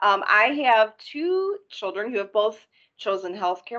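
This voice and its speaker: A woman with a plain, everyday voice, moderate pace and fairly even intonation. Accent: American. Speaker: healthcare executive. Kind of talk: panel discussion introduction.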